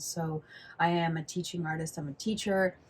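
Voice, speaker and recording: A woman with an American accent speaks at a moderate pace in a fairly low, somewhat breathy voice. Her intonation stays fairly even. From California. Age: 60s. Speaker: flamenco dancer and teacher. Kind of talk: interview conversation.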